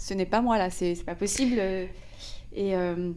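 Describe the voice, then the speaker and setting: Audible room echo surrounds a woman's medium-pitched voice, which has a dark, mellow tone and ordinary pitch variation. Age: 30s. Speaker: podcast host. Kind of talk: casual interview.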